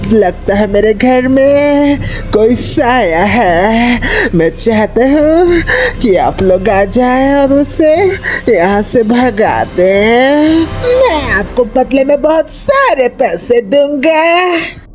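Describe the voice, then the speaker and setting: At a very slow pace, a fairly high-pitched put-on character voice speaks over clear background noise. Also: female-sounding voice. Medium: read story.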